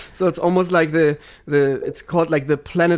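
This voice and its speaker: A man with a German accent, fairly high in pitch and fairly quick in pace, in a very clean recording with a silent background. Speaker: podcast host, water sommelier. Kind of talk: interview podcast. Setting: studio with cameras.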